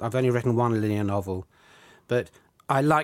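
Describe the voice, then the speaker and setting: Male voice with a southern English accent, medium pitch and a very fast pace, on a very clean recording with a silent background. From southern England. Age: 60s. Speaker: novelist. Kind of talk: interview.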